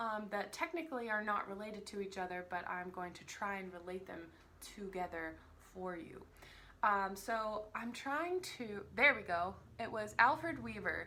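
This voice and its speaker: Lively intonation and a bright, sharp tone come with big swings in loudness, a moderate pace and audible room echo. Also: woman, medium pitch for a woman. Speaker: vlogger discussing books and films. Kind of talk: casual vlog talk. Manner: casual, rambling with many fillers.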